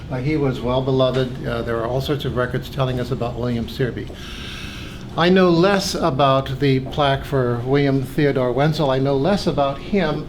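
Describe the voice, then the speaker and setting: A man with an American accent at medium pitch, ordinary pitch variation and a moderate pace, with audible room echo and noticeable background noise. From California. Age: 70s. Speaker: pharmacy school associate dean. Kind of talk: oral history recollection. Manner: hesitant with fillers.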